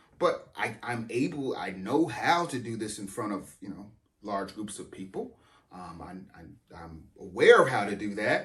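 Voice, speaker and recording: Audible room echo surrounds a man speaking at a moderate pace with a fairly low pitch, lively intonation and big swings in loudness. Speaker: pastor. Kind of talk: sermon. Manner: halting, repeats words.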